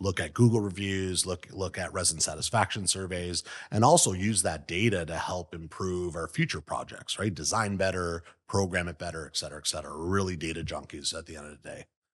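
Against a quiet background, a man speaks at a fairly quick pace with a very deep, low pitch. His loudness swings widely while his intonation stays fairly even. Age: 40s. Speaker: real estate company CEO. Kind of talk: interview. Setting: office.

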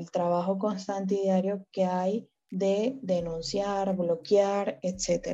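The woman's voice sits at a medium pitch with fairly even intonation. Her pace is very slow. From Venezuela. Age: 20s. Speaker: fan account manager. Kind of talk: casual interview.

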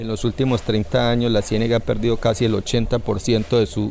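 At a fairly slow pace, a man uses an ordinary speaking voice. His pitch is medium. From Colombia, Puerto Berrío area, Antioquia. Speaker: fishermen's federation leader. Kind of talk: interview testimony.

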